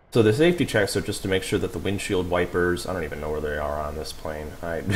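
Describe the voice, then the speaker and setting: A man's very deep, low voice at a very fast pace, with ordinary pitch variation and noticeable background noise. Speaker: flight sim streamer. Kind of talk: live stream gameplay commentary. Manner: soft-spoken at times; casual, filler-heavy.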